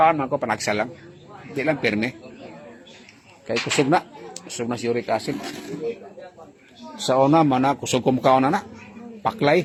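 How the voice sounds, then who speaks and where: Over noticeable background noise, a man with medium pitch and lively intonation talks at a moderate pace, taking long, frequent pauses. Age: 60s. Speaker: vlogger. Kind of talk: casual chat. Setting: wake for the dead.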